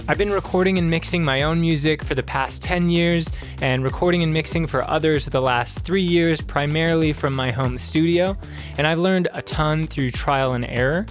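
A man at a moderate pace, with ordinary pitch variation and very even loudness, in dry sound with no echo and faint music in the background. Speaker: presenter. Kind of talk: tutorial. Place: studio. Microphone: studio mic.

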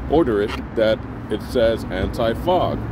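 A man at a fairly slow pace, with a dry sound with no echo and noticeable background noise. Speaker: product reviewer. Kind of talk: product review talk. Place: garden.

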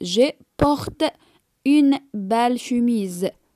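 At a very slow pace, a woman speaks in a high pitch with lively intonation, the sound dry and close with no echo. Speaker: French teacher. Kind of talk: tutorial.

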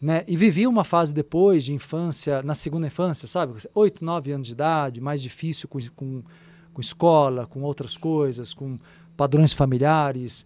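A man talks at a moderate pace with ordinary pitch variation and big swings in loudness. The sound is dry with no echo. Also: fairly high pitch for a man. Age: 50s. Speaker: spiritual therapist and radio host; podcast guest. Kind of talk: casual chat. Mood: calm, explanatory. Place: studio. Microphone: studio mic.

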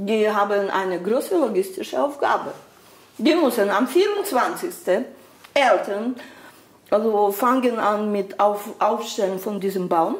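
Her voice is fairly high, carries a Slovak accent and has lively intonation, with audible room echo around it. The woman speaks very slowly, leaving long, frequent pauses. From Slovakia. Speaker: migrant guest. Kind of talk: casual interview.

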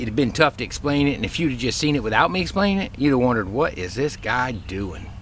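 Talking at a very fast pace, a man comes through in a dry sound with no echo and light background noise. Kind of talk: casual vlog chat. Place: garden. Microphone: phone near.

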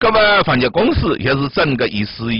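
A man with a Zhejiang accent uses very wide pitch swings and vocal fry. The sound is dry with no echo, and the background is quiet. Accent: Taizhou Wu dialect. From Taizhou, Zhejiang. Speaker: news show host. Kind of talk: local news programme presented in Taizhou dialect.

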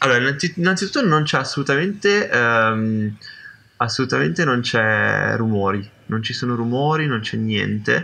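The pace is moderate as a man talks. Faint noise sits in the background. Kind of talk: role-play narration. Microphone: video call.

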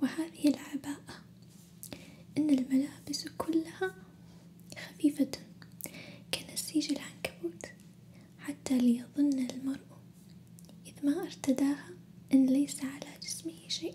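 Soft-spoken and calm, a woman talks at high pitch and a very slow pace, with long, frequent pauses over light background noise. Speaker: ASMR storyteller. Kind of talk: ASMR bedtime story reading. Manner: soft-spoken, calm.

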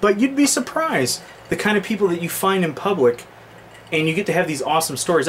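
Over light background noise, a man talks at a very fast pace with very wide pitch swings. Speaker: vlogger. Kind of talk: casual vlog chat. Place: home room. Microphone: webcam.

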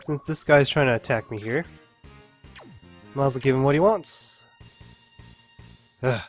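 The speaker keeps a moderate pace with long, frequent pauses. Music plays in the background. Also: man, fairly high pitch for a man, ordinary pitch variation. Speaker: video game let's player. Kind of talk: gameplay commentary. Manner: dull, low-energy.

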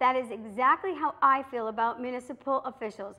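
At a moderate pace, a woman uses a raised, projected voice with a bright, sharp tone. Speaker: local TV commentary host. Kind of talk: prepared political commentary. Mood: earnest, critical. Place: studio.

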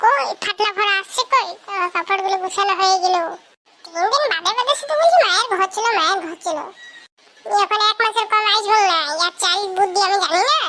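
The voice is a cartoonish character. Its pace is moderate. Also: woman, extremely high pitch for a woman.

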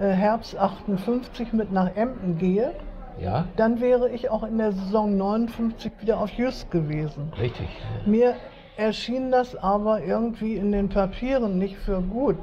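A woman talks at a very slow speed, with light noise in the background. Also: ordinary pitch variation. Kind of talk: casual reminiscing conversation. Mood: warm, nostalgic. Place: cafe.

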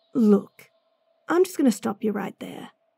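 In a gruff, put-on character voice of medium pitch, a woman speaks at a moderate pace with a dry, close sound and no echo. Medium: audio drama. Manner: gruff, sarcastic.

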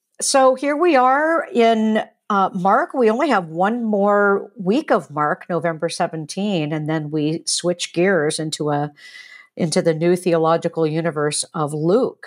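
In a quiet background, a woman speaks with very wide pitch swings. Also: fairly slow pace. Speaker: professor, podcast co-host. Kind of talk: discussion commentary. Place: home room. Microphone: earbuds.

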